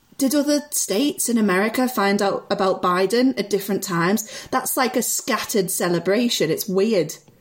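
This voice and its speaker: Speaking in a Liverpool accent, a woman holds a medium pitch with ordinary pitch variation. Her loudness stays very even at a moderate pace. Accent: Liverpool (Scouse). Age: 20s. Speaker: improviser. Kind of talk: casual chat. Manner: animated.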